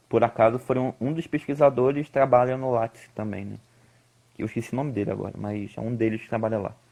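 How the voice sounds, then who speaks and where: This man speaks at a fairly quick pace. His pitch sits in the medium range. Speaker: climbing coach and researcher. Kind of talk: live-stream interview. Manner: fast.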